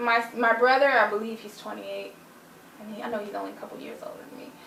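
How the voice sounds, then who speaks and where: A woman talks at a very fast pace in a room with audible echo and noticeable background noise. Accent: American. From United States. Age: 20s. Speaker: interviewee. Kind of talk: interview.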